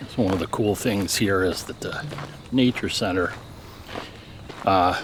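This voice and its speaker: Over noticeable background noise, a man speaks at a very deep, low pitch with ordinary variation. His pace is fairly slow, with long, frequent pauses. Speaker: travel vlogger. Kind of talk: vlog narration while hiking. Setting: outdoors on a hiking trail.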